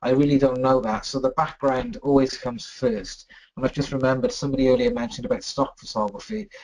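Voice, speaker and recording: Speaking at a fairly quick pace, a man with a medium pitch and a British accent uses lively intonation. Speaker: photographer. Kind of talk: webinar talk. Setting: online webinar. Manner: fast.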